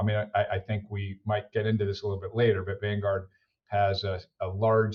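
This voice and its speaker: Somewhat breathy, a man with an American accent speaks at a moderate pace, his fairly low pitch carrying fairly even intonation. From United States. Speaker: finance executive. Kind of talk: podcast interview. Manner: frequent fillers and repetitions.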